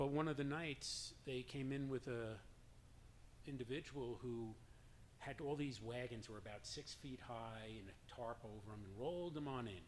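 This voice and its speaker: Speaking at a fairly slow pace with a slight New York accent, a man uses a medium pitch with ordinary variation. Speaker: drum circle leader. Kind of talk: personal story told to an audience.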